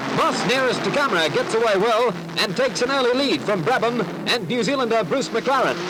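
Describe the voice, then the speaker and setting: The tone is upbeat and energetic at a fairly quick pace, with ordinary pitch variation and very even loudness. Noticeable background noise sits behind it. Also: man, extremely high pitch for a man. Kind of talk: period newsreel narration. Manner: upbeat, energetic.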